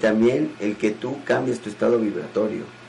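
Over noticeable background noise, a man talks at a moderate pace with a fairly low pitch. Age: 50s. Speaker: spiritual teacher hosting a show. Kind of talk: question and answer talk. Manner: animated.

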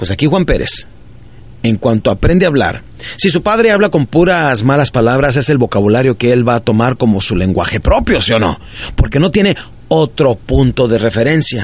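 With an animated tone and very wide pitch swings, a man keeps his loudness very even over noticeable background noise. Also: medium pitch for a man, moderate pace. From northern Mexico (Ciudad Juárez, Chihuahua). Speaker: motivational speaker. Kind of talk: motivational talk.

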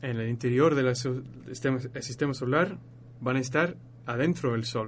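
This man's intonation holds fairly even. His voice is somewhat breathy. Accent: English. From northern England, Leeds. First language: English (speaking Spanish). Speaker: astrophysics student. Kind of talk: radio interview, explaining astronomy. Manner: halting, searching for words.

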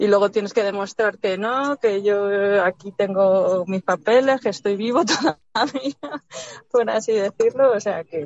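Speaking at a fairly slow pace, a woman uses lively intonation in a plain, everyday voice at a medium pitch. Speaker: caller. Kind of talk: casual chat. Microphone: connection cuts out.

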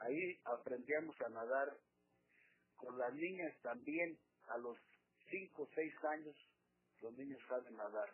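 A man talks at a fairly slow pace with fairly high pitch and ordinary pitch variation. His speech has long, frequent pauses. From Mexico, Michoacán. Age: 60s. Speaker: writer and poet. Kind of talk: interview. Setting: studio.

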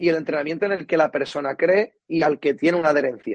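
A man with an ordinary speaking voice talks at a fairly quick pace, his pitch fairly high for a man with ordinary variation, in a dry, close sound with no echo. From Cádiz, Andalusia, Spain. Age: 20s. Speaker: strength and conditioning coach. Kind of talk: interview.

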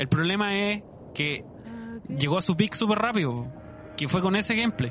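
A man with a Chilean accent speaks at a moderate pace, high-pitched and with lively intonation. Noticeable background noise runs underneath. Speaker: podcast host. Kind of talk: casual chat.

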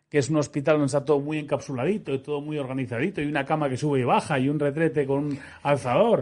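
Against a quiet background, a man speaks very fast at a fairly high pitch. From Spain, Madrid. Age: 40s. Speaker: entrepreneur and ski accident survivor. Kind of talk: interview.

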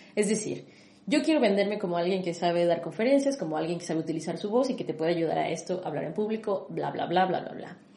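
Over noticeable background noise and audible room echo, a woman speaks very fast in a fairly low pitch with ordinary pitch variation. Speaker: podcast host, personal branding consultant. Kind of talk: casual chat.

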